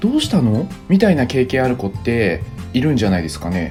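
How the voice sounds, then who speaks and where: Background music plays throughout. Over it, a man's pitch leaps very widely. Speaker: former visual-kei band musician. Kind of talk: casual talk to camera. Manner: somewhat fast-talking, natural speaking style.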